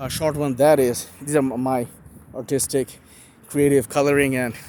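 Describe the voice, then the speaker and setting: Pausing long and often, a man speaks at a moderate pace with a fairly high pitch and a monotone, flat intonation. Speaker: solo video blogger. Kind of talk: impromptu monologue. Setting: walking while recording. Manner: halting, many fillers and restarts.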